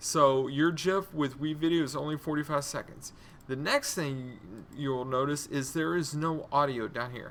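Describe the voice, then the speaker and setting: Intonation stays fairly even as the voice moves at a moderate pace. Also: man, fairly high pitch for a man. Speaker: instructional technology trainer. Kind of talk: tutorial. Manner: casual, says um a lot.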